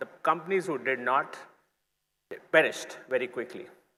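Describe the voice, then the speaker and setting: A man's raised, projected voice, bright and sharp in tone, at a moderate pace with very wide pitch swings. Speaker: conference speaker. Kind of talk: keynote talk. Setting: stage with audience.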